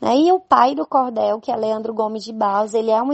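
The speaker has a strong northeastern Brazilian accent. The intonation stays fairly even. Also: woman. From Brazil, Northeast (Campina Grande, Paraíba). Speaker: poet and nurse. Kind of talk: interview.

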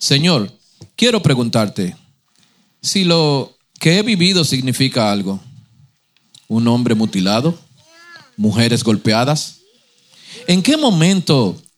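Very slowly, a man speaks in a fairly high pitch that rises and falls in very wide swings. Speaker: church member reading poems. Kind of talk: reading aloud.

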